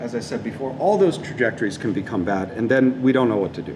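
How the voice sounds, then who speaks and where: A man talks very fast at medium pitch, his voice making very wide pitch swings. Audible room echo and noticeable background noise surround him. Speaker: robotics professor. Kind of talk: lecture. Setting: seminar room with audience and live stream. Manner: frequent fillers.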